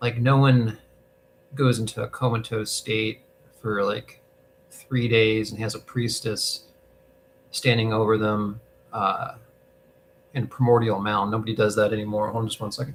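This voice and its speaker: A man at a moderate pace with a calm tone, somewhat breathy, in monotone, flat intonation, with long, frequent pauses. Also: medium pitch for a man. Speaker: hospice volunteer answering spiritual questions. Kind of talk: casual livestream chat. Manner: calm, trying to keep voice quiet; talkative, rambling with fillers.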